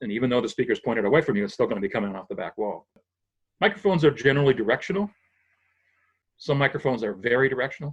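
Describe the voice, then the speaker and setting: A man with an American accent talks at a very fast pace with lively intonation, broken by long, frequent pauses. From New England, US (Springfield, Massachusetts). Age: 60s. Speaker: retired sound engineer. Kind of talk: interview, technical explanation. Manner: halting, self-correcting.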